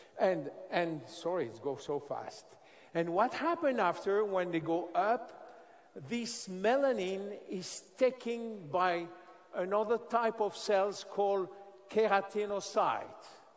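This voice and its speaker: A man's high-pitched voice with a French accent, very slow and lively in intonation, over noticeable background noise. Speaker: scientist presenting a skincare product. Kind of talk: product presentation to an audience. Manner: halting.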